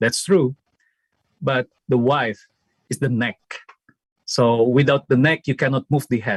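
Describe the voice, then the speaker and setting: Speaking at a fairly slow pace with an Indonesian accent, a man sounds dry and close, with no echo. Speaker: former student, theology academic. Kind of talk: memorial tribute speech.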